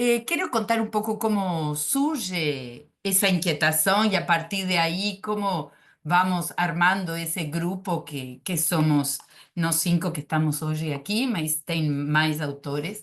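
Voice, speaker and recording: A woman with a Spanish accent talks at a very slow pace, her pitch fairly low with ordinary variation. The background is quiet. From Uruguay. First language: Spanish (speaking Portuguese). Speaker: psychoanalyst. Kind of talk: academic presentation. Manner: hesitant, many filler sounds.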